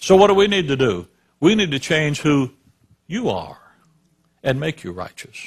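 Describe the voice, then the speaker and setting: Long, frequent pauses break up a man's moderate-paced, somewhat breathy speech, his fairly high pitch swinging very widely. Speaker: preacher. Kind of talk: sermon.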